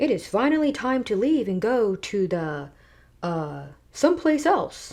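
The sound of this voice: Putting on a character voice, a woman speaks loud and booming at a fairly high pitch. Her pitch swings very widely at a moderate pace.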